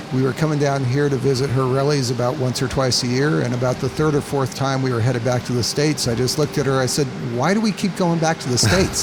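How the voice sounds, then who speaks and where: A man with an American accent talks at a fairly quick pace in a fairly high voice, with noticeable background noise. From Colorado, US. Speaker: seaplane operator and pilot. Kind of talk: interview. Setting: outdoors by a road.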